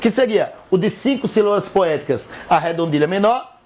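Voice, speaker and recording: A man's high-pitched voice in a northeastern Brazilian accent, at a moderate pace with lively intonation, over noticeable background noise. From Northeast Brazil. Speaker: teacher. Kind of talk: educational lecture.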